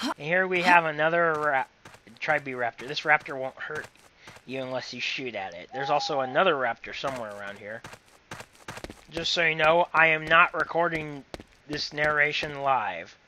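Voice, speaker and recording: Amid noticeable background noise, a man with a fairly high pitch talks at a moderate pace with ordinary pitch variation, big swings in loudness and long, frequent pauses. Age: 20s. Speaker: gaming commentator. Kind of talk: recorded gameplay commentary. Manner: casual, halting. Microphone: laptop recording.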